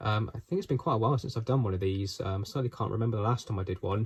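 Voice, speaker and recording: The voice has a dark, mellow tone and is somewhat breathy. The recording is very clean, with a silent background. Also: man. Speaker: model railway reviewer. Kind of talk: product review. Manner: halting, many fillers.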